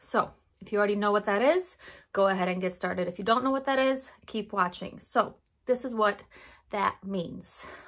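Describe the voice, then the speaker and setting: A raspy, put-on character voice moves at a moderate pace. The recording is very clean, with a silent background. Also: woman, medium pitch for a woman. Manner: talking too fast, explaining quickly.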